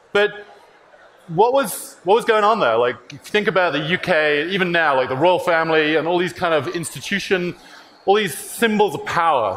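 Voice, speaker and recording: Noticeable background noise sits behind a man with a high pitch, lively intonation and a moderate pace. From UK. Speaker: tech company CEO. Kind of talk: conference talk.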